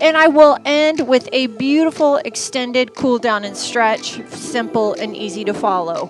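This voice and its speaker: With faint music in the background, a woman speaks in a high pitch, and the sound is dry with no echo. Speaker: fitness instructor. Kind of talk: class introduction to live viewers. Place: gym.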